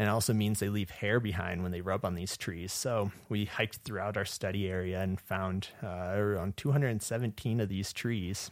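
A man in a normal speaking voice, fairly low-pitched, talks at a moderate pace with ordinary pitch variation. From southwest Michigan. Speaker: wildlife ecology graduate student. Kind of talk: interview.

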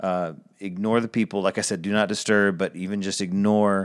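On a very clean recording with a silent background, a man with a plain, everyday voice talks at a fairly quick pace and a fairly low pitch. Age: 30s. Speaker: podcast host. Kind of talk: solo monologue podcast. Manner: casual, conversational.

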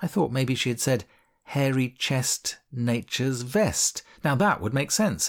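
A passage is being read aloud in a natural voice.

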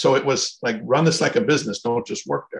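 Somewhat breathy, a man speaks at a fairly high pitch. His pace is fairly quick and his intonation lively. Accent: American. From Minnesota. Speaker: franchise consultant. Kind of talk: interview.

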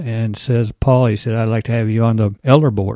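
A man with an American accent, a medium pitch and a dark, mellow tone, in a dry, close sound with no echo. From Iowa. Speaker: church volunteer. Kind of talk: interview.

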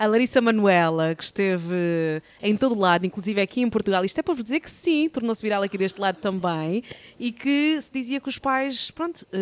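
A woman's medium-pitched voice with lively intonation at a fairly quick pace, in a very clean recording with a silent background and a dry, close sound with no echo. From Angola. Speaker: podcast host. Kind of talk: show intro; casual interview chat. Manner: animated.

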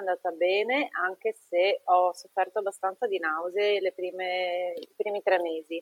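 A woman with an ordinary speaking voice, a medium pitch, fairly even intonation and a moderate pace. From northeastern Italy (Treviso). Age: 30s. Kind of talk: interview testimony.

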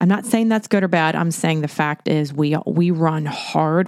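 An unremarkable speaking voice from a woman at a fairly low pitch, with a dry, close sound and no echo. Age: 50s. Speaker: podcast co-host, former personal trainer. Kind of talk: casual chat.

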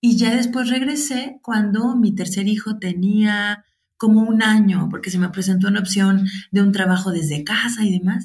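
A woman speaks at a moderate pace in a somewhat breathy, medium-pitched voice with ordinary pitch variation. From Mexico, Guadalajara. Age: 40s. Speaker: teacher and mother of seven. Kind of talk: interview.

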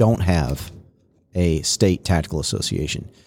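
A very clean recording with a silent background, carrying a man's dark, mellow tone. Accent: Texan. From East Texas (Beaumont). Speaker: retired SWAT officer. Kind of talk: casual interview.

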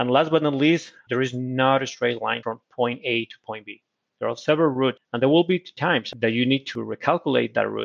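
Talking at a fairly quick pace with a Spanish accent, a man shows ordinary pitch variation and big swings in loudness. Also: medium pitch for a man. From Colombia. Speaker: corporate procurement executive. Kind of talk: interview. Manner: halting.

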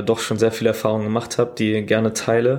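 The voice is a man's, medium in pitch. It stays monotone and flat. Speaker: podcast host. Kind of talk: casual monologue. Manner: casual with many fillers.

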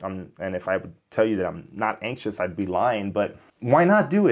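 A man with a fairly low pitch talks in an American accent against a quiet background. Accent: Miami US, toned down. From Miami, US. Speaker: YouTuber, software developer. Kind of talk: casual vlog monologue.

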